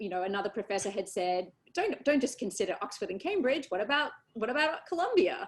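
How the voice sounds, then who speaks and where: Speaking at a very fast pace with an Australian accent, a woman uses a fairly high pitch and very wide pitch swings. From Australia, Sydney. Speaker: election lawyer. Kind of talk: interview. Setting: video call webinar. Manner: many fillers and hesitations.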